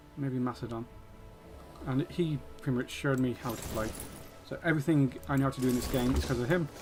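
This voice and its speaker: A man with a Yorkshire accent at a medium pitch with ordinary pitch variation, very fast pace and long, frequent pauses, over music in the background. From Yorkshire, northern England. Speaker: video game streamer. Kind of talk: gameplay livestream commentary. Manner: casual, hesitant with frequent ums.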